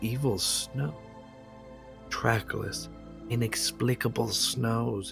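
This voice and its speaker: Over music in the background, a man talks at a medium pitch. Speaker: amateur horror story reader. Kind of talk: dramatic horror story reading. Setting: home microphone, some clipping.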